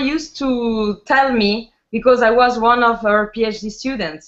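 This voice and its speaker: A woman's fairly high voice with an Italian accent, at a fairly slow pace. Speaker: linguist, researcher. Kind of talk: conference presentation. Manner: halting, many fillers.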